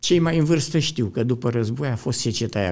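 A man speaks with vocal fry. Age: 80s+. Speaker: former cyclist and coach. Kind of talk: interview storytelling. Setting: studio.

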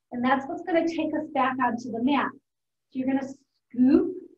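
With audible room echo, a woman speaks in a high voice at a fairly slow pace. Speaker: fitness instructor. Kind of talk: instruction, exercise cueing. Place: gym. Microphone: camera far.

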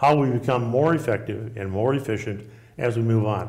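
A man talks with ordinary pitch variation over a quiet background. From Nebraska. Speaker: state senator and retired school principal; candidate. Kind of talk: candidate forum debate. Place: studio. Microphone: lapel.

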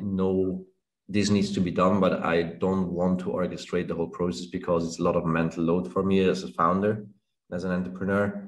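Against a quiet background, a man with a very deep, low pitch speaks at a moderate pace with fairly even intonation. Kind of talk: interview answer. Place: home room. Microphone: video call.

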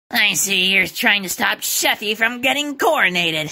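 Someone uses a put-on character voice, speaking at a moderate pace. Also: female-sounding voice, medium pitch for a woman. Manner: smug, snippy, then panicky.

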